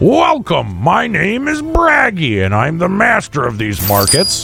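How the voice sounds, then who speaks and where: A man performs in a put-on character voice. Clear music plays in the background. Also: fairly slow pace. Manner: welcoming, hearty, booming.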